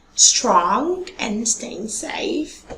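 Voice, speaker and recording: Very wide pitch swings come through over noticeable background noise. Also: woman. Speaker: online tutor. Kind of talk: tutorial intro.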